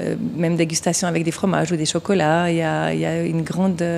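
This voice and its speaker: In a Vaud accent, a woman with a fairly low pitch talks at a fairly quick pace over noticeable background noise. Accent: Swiss French (Vaud). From Switzerland, canton of Vaud. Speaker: craft brewery co-owner. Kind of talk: interview.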